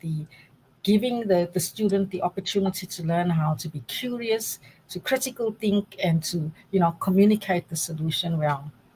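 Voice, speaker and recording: A woman speaks at a moderate pace in a South African accent. Her voice is somewhat breathy and medium in pitch. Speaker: data science academic. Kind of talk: interview.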